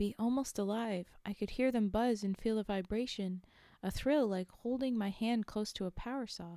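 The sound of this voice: The clip offers an unforced reading voice that has ordinary pitch variation.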